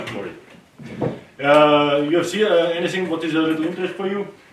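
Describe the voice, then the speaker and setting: A man with a high pitch and ordinary pitch variation talks at a very fast pace amid noticeable background noise and audible room echo. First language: German. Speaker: farmer. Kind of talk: tour presentation to visitors. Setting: hunting lodge with tour group. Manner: halting.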